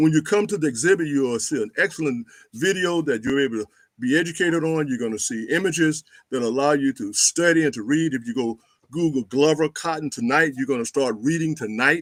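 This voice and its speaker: A man with an American accent talks fairly quickly in a fairly high pitch, with ordinary pitch variation and an ordinary speaking voice. The recording is very clean, with a silent background. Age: 60s. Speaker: historian. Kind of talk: interview.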